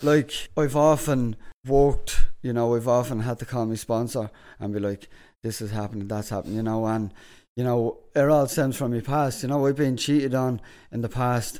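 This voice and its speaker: A dark, mellow tone with an Irish accent and fairly even intonation on a very clean recording with a silent background. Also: man, medium pitch for a man, moderate pace. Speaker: podcast host. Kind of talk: casual chat. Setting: studio.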